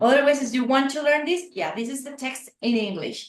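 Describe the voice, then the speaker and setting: Speaking with a Spanish accent, a woman uses a high pitch with ordinary pitch variation. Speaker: neuroscientist running outreach program. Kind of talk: interview conversation. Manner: animated.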